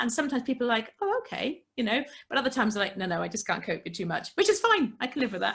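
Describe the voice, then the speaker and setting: In a British accent, a woman with a high pitch and a bright, sharp tone speaks at a very fast pace, her pitch swinging very widely. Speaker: entrepreneur and podcast guest. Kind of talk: casual interview. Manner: loud; animated.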